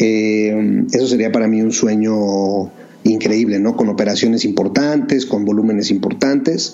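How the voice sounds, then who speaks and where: A man with a fairly low pitch speaks at a fairly slow pace with very even loudness and fairly even intonation, with audible room echo and noticeable background noise. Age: 40s. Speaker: entrepreneur, bottled water company founder. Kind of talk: interview.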